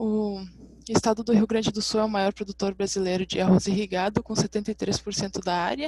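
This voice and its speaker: The voice is somewhat breathy, with a dark, mellow tone and monotone, flat intonation. The sound is dry with no echo, over a quiet background. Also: woman. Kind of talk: academic presentation. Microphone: webcam.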